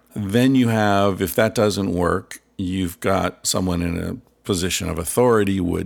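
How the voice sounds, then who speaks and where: In a normal speaking voice, a man talks fairly slowly at a fairly low pitch with ordinary pitch variation. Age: 50s. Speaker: author and researcher. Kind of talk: casual interview.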